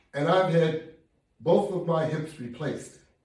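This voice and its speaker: A man's fairly high-pitched voice at a fairly slow pace, fairly even in intonation, with audible room echo. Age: 70s. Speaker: fitness instructor. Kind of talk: workout tutorial. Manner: conversational, encouraging.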